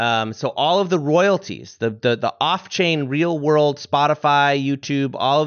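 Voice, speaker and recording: Here is an ordinary speaking voice from a man with an American accent and a fairly high pitch. He keeps a moderate pace and ordinary pitch variation. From US, northern Vermont. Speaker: musician and podcast co-host. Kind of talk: casual interview chat.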